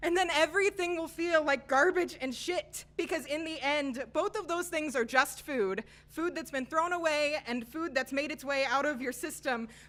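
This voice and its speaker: Over music in the background, a woman with a high pitch speaks at a moderate pace with ordinary pitch variation and hardly any pauses. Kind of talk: spoken word poetry performance. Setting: live open mic.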